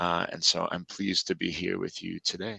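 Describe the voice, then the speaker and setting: A man's bright, sharp tone at a fairly quick pace. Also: dry, close sound with no echo. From United States. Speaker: pre-sales field engineer. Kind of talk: casual tech livestream chat.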